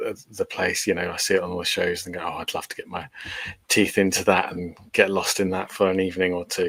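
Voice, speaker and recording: Talking at a very fast pace with an English accent, a man's loudness swings widely. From England, Portsmouth. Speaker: paranormal investigator. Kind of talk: podcast interview. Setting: video call, no camera.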